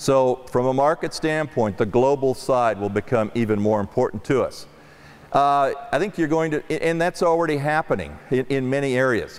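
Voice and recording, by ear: At a moderate pace, a man talks with a medium pitch and lively intonation.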